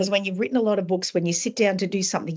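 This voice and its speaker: A somewhat breathy woman with an Australian accent, medium pitch and ordinary pitch variation. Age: 60s. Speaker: author. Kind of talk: interview.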